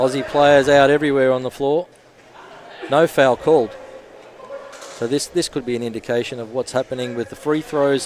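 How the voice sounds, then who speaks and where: A man with an Australian accent, fairly high in pitch, at a moderate pace with fairly even intonation, over noticeable background noise. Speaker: basketball commentator. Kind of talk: live commentary.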